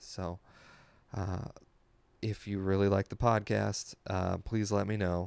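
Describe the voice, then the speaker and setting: At a very slow pace with long, frequent pauses, a man with a fairly low pitch speaks in a monotone, flat intonation. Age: 30s. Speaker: podcast host and comedian. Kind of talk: casual chat.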